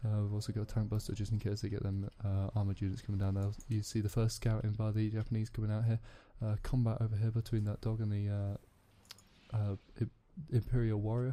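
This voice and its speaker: This man speaks at a very fast pace in a fairly low pitch, his dark, mellow tone somewhat breathy and his intonation monotone and flat. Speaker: gaming commentator. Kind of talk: live game commentary. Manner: halting, many fillers and restarts.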